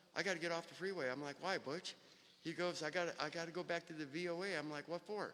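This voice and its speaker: The man's voice is high-pitched, with a bright, sharp tone. He moves at a fairly quick pace with fairly even intonation. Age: 60s. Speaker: recovering addict speaking at memorial. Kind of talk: eulogy. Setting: memorial gathering with audience.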